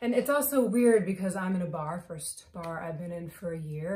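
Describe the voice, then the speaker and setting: A woman with a fairly low voice speaks at a moderate pace, using ordinary pitch variation. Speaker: actor performing a monologue. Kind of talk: theatrical monologue. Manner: animated, emotional; conversational, confessional. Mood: emotional, sombre. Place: home room. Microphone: phone near.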